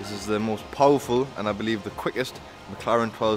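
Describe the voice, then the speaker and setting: Over clear music in the background, a man talks at a fairly quick pace in a flat monotone. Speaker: vlogger visiting a workshop. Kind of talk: casual vlog chat. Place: workshop. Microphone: phone near.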